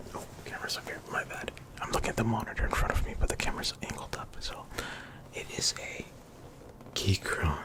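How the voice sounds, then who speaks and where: Whispering at a fairly quick pace, broken by long, frequent pauses, over noticeable background noise. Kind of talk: ASMR ramble to camera. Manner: whispered; casual, rambling.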